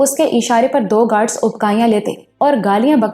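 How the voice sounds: The pitch in this natural reading voice varies by an ordinary amount.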